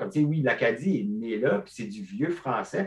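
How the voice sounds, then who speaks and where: With an ordinary speaking voice, a man delivers his words at a moderate pace and a medium pitch. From Acadian peninsula, northeast New Brunswick. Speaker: stand-up comedian. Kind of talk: casual chat.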